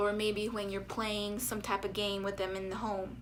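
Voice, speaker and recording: A woman speaks at a fairly high pitch with a slight Spanish accent. Her tone is bright and sharp, and audible room echo surrounds it. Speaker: speech therapist. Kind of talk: educational vlog. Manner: conversational.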